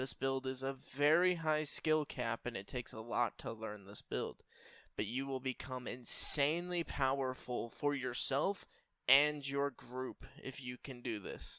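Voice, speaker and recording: This man's medium-pitched voice has a bright, sharp tone and sounds shaky. He talks at a fairly slow pace in a very clean recording with a silent background. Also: dry, close sound with no echo. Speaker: gaming youtuber. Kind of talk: tutorial.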